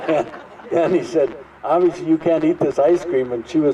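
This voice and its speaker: A fairly quick-paced man with an American accent, fairly high pitch and fairly even intonation over crowd noise in the background. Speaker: local storyteller, Vietnam veteran. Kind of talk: anecdote to audience.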